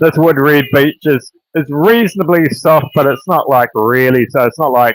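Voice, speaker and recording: With a New Zealand accent, a man with a fairly high voice talks at a moderate pace with lively intonation, the sound dry and close with no echo. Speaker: woodcarver. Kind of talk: live tutorial. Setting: livestream.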